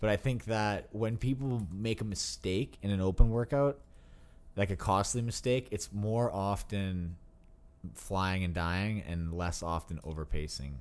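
An unremarkable speaking voice from a man, fairly low in pitch with ordinary pitch variation, at a fairly slow pace on a very clean recording with a silent background. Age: 20s. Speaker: pro fitness athlete. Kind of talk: casual chat. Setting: studio.

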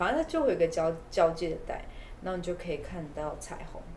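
Someone with a Taiwanese accent speaks over noticeable background noise, with audible room echo. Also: woman. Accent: Taiwanese Mandarin. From Taiwan, Taipei. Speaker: community eco-tourism promoter. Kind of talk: casual interview.

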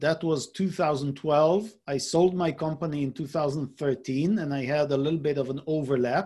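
Over a very clean recording with a silent background, a man with a fairly high pitch sounds somewhat breathy, with ordinary pitch variation. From Israel. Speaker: business coach. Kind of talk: casual interview.

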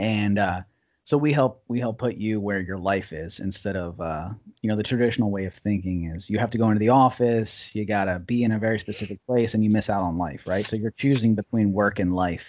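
Delivered in a normal speaking voice with an American accent, the speech has ordinary pitch variation. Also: man, fairly low pitch for a man, fairly quick pace. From US, Washington DC suburbs. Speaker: entrepreneur. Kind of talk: casual interview. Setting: video call.

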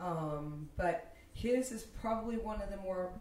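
An unremarkable speaking voice carries lively intonation. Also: woman. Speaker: podcast co-host. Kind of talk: casual podcast chat.

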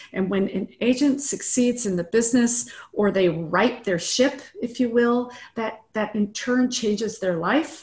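A woman with an American accent, fairly high in pitch, at a fairly slow pace with ordinary pitch variation. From US Midwest. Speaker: realtor and business coach. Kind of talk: interview. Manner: animated.

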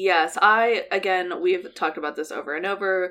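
Against a quiet background, a woman with an American accent speaks at a moderate pace in a medium pitch with ordinary pitch variation. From US Midwest. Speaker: true crime podcast co-host. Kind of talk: casual chat with case storytelling.

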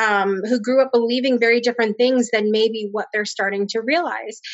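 A woman's fairly high, an ordinary speaking voice with an American accent and fairly even intonation. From Connecticut. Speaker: spiritual coach and healer. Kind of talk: interview.

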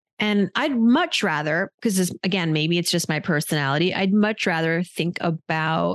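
A woman's plain, everyday voice, fairly low in pitch, with ordinary pitch variation and a dry, close sound with no echo. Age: 40s. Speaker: personal finance journalist. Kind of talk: casual chat.

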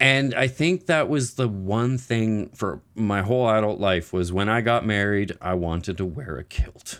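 Lively intonation from a man with a fairly low pitch and a Maritime Canadian accent. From Nova Scotia, Canada. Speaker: IBD advocate and gaming fundraiser founder. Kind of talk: interview.

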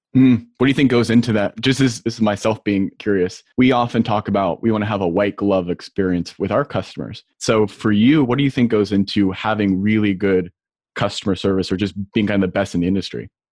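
This man has an unremarkable speaking voice, fairly low in pitch with ordinary pitch variation. He talks at a fairly quick pace, and the sound is dry and close with no echo. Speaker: podcast host. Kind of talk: interview conversation.

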